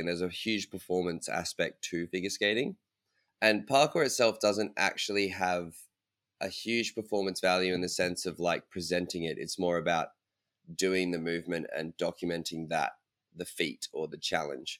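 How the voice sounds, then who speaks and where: A man with an Australian accent and a very deep, low pitch at a moderate pace, dry and close with no echo, on a very clean recording with a silent background. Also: ordinary pitch variation. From Australia (Brisbane). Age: 20s. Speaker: parkour athlete. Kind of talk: interview.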